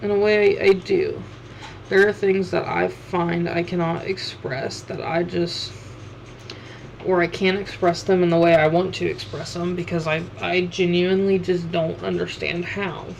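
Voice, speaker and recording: A woman speaks at a fairly slow pace with fairly even intonation. Room echo is audible and background noise is noticeable. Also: fairly low pitch for a woman. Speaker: streamer and artist. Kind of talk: casual livestream chat while drawing. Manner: halting, many fillers.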